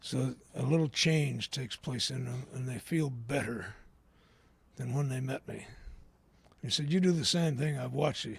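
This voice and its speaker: Speaking at a moderate pace with long, frequent pauses, a man has a medium-pitched, somewhat breathy voice with ordinary pitch variation. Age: 60s. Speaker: AA speaker. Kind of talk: recovery talk.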